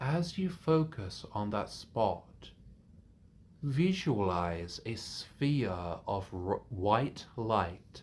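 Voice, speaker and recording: A man's fairly low, somewhat breathy voice moves at a very slow pace. His pitch swings very widely. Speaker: meditation teacher. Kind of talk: guided meditation. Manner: calming.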